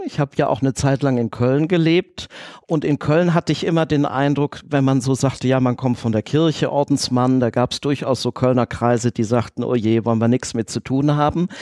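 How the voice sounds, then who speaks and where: A man speaks in a plain, everyday voice at a fairly high pitch and moderate pace, with ordinary pitch variation and a dry, close sound with no echo. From Düsseldorf, Germany. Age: 40s. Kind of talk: interview.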